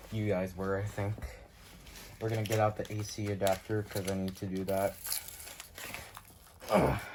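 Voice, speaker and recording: Long, frequent pauses break up the speech, with noticeable background noise throughout. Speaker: YouTuber unboxing weather radios. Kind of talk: casual unboxing video with friends. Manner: fast.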